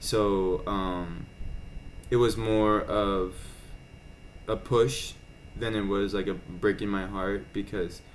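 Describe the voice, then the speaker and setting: A man speaks with a fairly low-pitched voice. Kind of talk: casual weekly vlog talk to camera. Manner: many filler words, hesitant.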